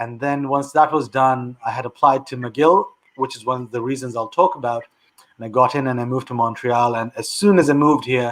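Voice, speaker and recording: This is a man talking. He uses medium pitch and a moderate pace. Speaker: public policy institute founder. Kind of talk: interview on live online show.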